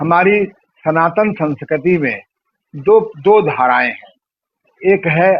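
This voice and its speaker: High male pitch, moving up and down in an ordinary way. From rural India. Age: 70s. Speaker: yoga and spirituality teacher. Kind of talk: interview.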